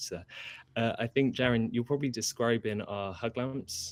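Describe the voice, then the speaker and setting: With a British accent and a medium pitch, a man talks at a fairly quick pace with ordinary pitch variation, the sound dry and close with no echo. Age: 20s. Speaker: furniture and product designer. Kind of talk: interview.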